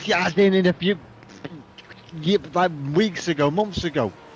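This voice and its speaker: With noticeable background noise around him, a man's high pitch varies in an ordinary way. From Ireland. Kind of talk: casual chat. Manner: mumbling; fast.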